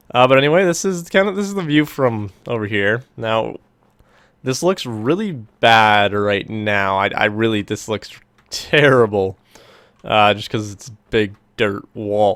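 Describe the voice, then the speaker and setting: A man speaks in a normal speaking voice at a fairly slow pace. His pitch sits in the medium range, with ordinary pitch variation. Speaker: gaming YouTuber. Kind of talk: gameplay commentary. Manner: casual, filler-heavy.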